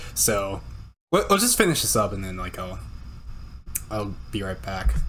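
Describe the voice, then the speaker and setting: Music plays in the background as a man speaks with audible room echo. His loudness swings widely. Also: moderate pace. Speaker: streamer reacting to videos. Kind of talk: casual reaction commentary. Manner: halting, repeats words.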